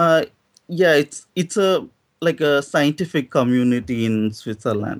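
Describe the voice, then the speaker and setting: A man with an Indian accent talks at a fairly slow pace and fairly high pitch, with lively intonation and very even loudness, on a very clean, silent-background recording with a dry, close sound and no echo. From South India. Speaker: doctoral student, caller. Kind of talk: debate.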